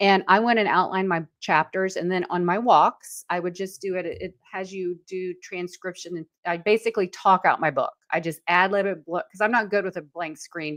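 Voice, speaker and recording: Speaking with hardly any pauses, a woman uses a medium pitch and fairly even intonation in a dry, close sound with no echo and a quiet background. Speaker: branding expert and author. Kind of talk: live webinar chat. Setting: online live stream. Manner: fast.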